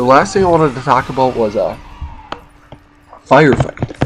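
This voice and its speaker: Noticeable background noise behind a man's ordinarily varied pitch. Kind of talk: casual gaming commentary. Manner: hesitant, casual.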